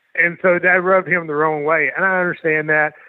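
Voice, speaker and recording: A man speaks with a Southern US accent. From Louisiana. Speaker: professional wrestler. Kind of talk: interview.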